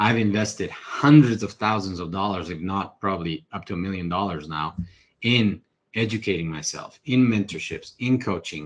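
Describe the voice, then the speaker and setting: In a Spanish accent, a man speaks at a fairly low pitch. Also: ordinary pitch variation, moderate pace. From Ecuador. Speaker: real estate investor. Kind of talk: podcast interview. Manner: animated.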